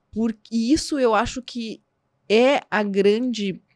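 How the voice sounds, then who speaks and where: A woman speaks in a strong southern Brazilian accent. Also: very clean recording, silent background. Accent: southern Brazilian border accent, strong. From southern Brazil, border region. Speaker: psychologist. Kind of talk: podcast interview. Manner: halting.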